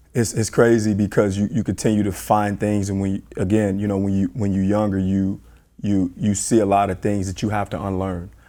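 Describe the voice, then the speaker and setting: Fairly quick, monotone male voice with flat intonation, fairly low pitch and a dark, mellow tone, on a very clean recording with a silent background. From US Midwest, Chicago. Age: 40s. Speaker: basketball coach. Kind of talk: interview. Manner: halting, many fillers and repeats.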